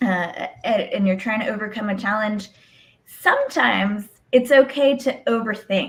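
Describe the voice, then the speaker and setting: A woman speaks at a moderate pace in a plain, everyday voice, her pitch fairly high with ordinary pitch variation. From Mexico, moved to US at five. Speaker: lawyer. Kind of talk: interview.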